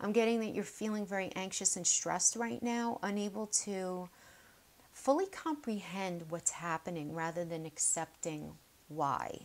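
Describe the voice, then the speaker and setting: A woman speaks at a fairly slow pace in a medium pitch. Her pitch varies in an ordinary way. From New York (Queens). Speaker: tarot reader. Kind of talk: tarot reading video. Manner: casual, chatty.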